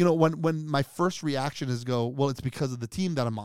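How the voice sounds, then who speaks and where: Here is a man with a normal speaking voice, pitched fairly high, showing ordinary pitch variation. The recording is very clean and the background silent. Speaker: pastor. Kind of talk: casual chat.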